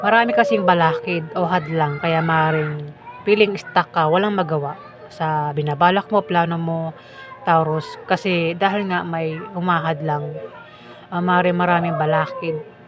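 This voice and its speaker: A woman with a fairly low pitch speaks at a fairly slow pace, with fairly even intonation. There is noticeable background noise and audible room echo. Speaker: tarot reader. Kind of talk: tarot reading. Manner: casual, conversational. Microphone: mic far from mouth, no echo.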